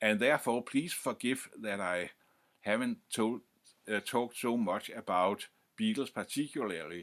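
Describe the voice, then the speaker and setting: With a Danish accent, a man talks at a fairly slow pace, medium in pitch with ordinary variation. The recording is very clean and the background silent. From Denmark. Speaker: music history youtuber. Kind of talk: informal lecture to camera. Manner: halting, many fillers and restarts.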